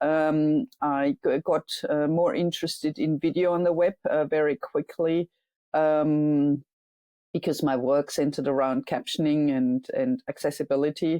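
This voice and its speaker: A woman's very deep, low voice with a German accent, dark, mellow tone, very even loudness and a fairly slow pace, dry and close with no echo against a quiet background. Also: ordinary pitch variation. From Germany. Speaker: software engineer and startup founder. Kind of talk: interview. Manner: halting, many fillers.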